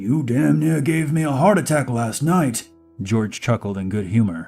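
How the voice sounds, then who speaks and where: A man puts on a raspy, croaky character voice at a medium pitch, with very wide pitch swings and a moderate pace. Faint music plays in the background. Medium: read story. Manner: good-humored, folksy.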